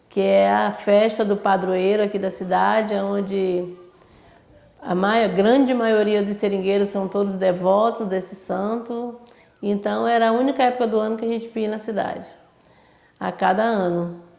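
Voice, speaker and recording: Speaking at a moderate pace with fairly even intonation, a woman with a medium pitch is heard with audible room echo. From Brazil, Acre (Amazon rubber region). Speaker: rubber tapper. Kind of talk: interview testimony.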